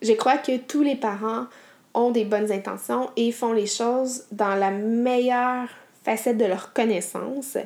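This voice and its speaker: A woman speaks very slowly with a Quebec accent. Her pitch is fairly high and her intonation fairly even. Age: 30s. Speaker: podcast host. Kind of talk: solo podcast monologue.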